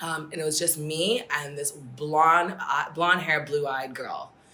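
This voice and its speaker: Noticeable background noise sits under the recording. A woman with an American accent talks at a moderate pace. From Singapore and US. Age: 20s. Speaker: podcast guest. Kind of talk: casual chat.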